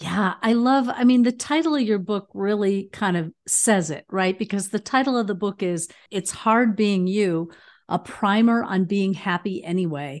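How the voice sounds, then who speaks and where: A woman's normal speaking voice at a medium pitch and moderate pace, with ordinary pitch variation, over a quiet background. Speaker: podcast host. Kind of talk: interview conversation.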